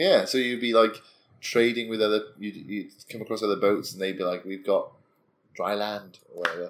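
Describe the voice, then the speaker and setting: A man speaks in a plain, everyday voice. His pace is moderate. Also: fairly low pitch for a man. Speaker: podcast co-host. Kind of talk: casual chat over drinks.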